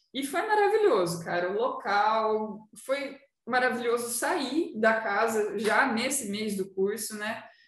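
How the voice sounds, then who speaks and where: A woman's somewhat breathy, fairly high voice at a very slow pace, with ordinary pitch variation and audible room echo. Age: 20s. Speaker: tattoo artist. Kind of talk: casual chat.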